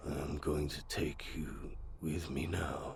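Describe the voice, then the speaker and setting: A put-on character voice, shaky throughout. It moves at a very slow pace. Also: man, very deep, low pitch for a man. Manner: ominous, slow.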